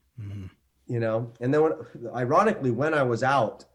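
A man with a Canadian accent, an ordinary speaking voice, and a fairly quick pace. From Canada, Ontario. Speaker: actor. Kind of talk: casual chat.

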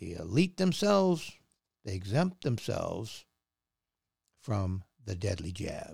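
On a very clean recording with a silent background, a man at medium pitch makes very wide pitch swings, his somewhat breathy voice dark and mellow in tone. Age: 60s. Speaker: podcast host. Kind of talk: opinionated monologue. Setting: studio.

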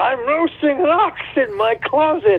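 Shouting in a put-on character voice, the speaker moves at a fairly slow pace. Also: man.

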